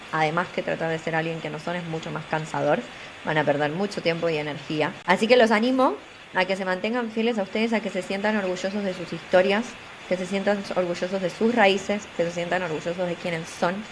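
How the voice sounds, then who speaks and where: Over noticeable background noise, a woman with a Buenos Aires accent talks at a fairly quick pace, her medium pitch showing ordinary variation. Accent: Buenos Aires Argentine. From Argentina, Buenos Aires. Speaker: tech communications professional and career coach. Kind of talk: interview. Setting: studio.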